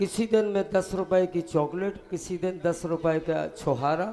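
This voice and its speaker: Music plays in the background. A man speaks with a high pitch. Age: 60s. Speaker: retiring government education employee. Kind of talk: farewell speech. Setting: stage with audience. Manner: formal.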